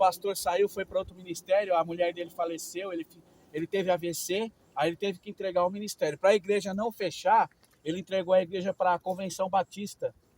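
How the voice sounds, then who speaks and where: A man talks fairly quickly in a high voice, his loudness swinging widely, with a dry, close sound and no echo. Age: 60s. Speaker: missionary preacher. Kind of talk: interview testimony. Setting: outdoors.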